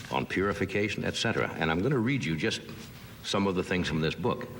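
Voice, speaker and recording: Against noticeable background noise, a man with a very deep, low pitch speaks with very wide pitch swings. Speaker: talk show host. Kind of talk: casual chat.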